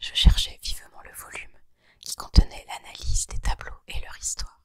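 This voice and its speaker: The pace of the talking is fairly slow. It is all whispered. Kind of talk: whispered ASMR reading of a short story. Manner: whispered, soft.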